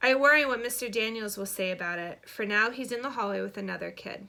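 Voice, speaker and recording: Racing at a very fast pace, a woman uses a raspy, fairly high-pitched put-on character voice. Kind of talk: children's book read-aloud. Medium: read story. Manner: gentle storytelling.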